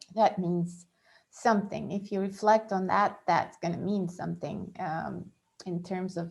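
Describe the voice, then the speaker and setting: Over a quiet background, a woman speaks at medium pitch with a non-native accent. Her intonation is fairly even. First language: not English. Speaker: astrologer. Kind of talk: monthly horoscope talk. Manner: halting, many fillers.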